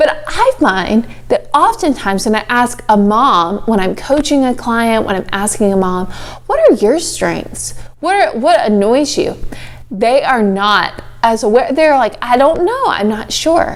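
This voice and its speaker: With an American accent, a woman speaks at a fairly slow pace in a high pitch, her voice swinging very widely, while noticeable background noise sits behind her. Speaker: life coach and show host. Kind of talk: motivational talk. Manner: animated.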